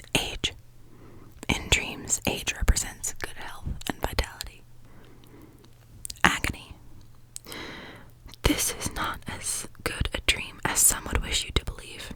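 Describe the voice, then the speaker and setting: Whispering in a calm, soothing tone comes at a fairly slow pace with long, frequent pauses. Background noise is noticeable. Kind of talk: ASMR reading of a dream dictionary. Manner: whispered; soft, calm, soothing.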